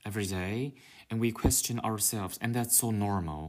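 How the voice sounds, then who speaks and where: A man speaks at a medium pitch. His pace is fairly slow. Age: 30s. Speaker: podcaster. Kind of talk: casual monologue. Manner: natural conversational pace.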